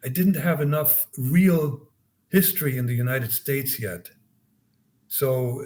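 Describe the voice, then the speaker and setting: A somewhat breathy voice with a slight German accent moves at a fairly slow pace. Its pitch shows ordinary variation. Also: man. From East Germany. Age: 70s. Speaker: former spy and author. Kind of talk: interview conversation. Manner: halting, many repetitions.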